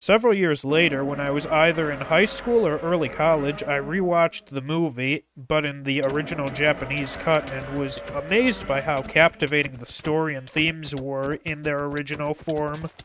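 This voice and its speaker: A man talks at a moderate pace with hardly any pauses, his pitch fairly high with ordinary variation. Noticeable background noise runs underneath. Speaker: Minecraft mod reviewer. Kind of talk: gameplay showcase narration.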